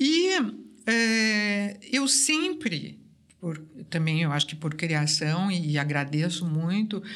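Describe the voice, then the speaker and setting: Speaking very slowly, a woman with a fairly low pitch is heard over audible room echo. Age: 60s. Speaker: artist. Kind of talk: casual interview.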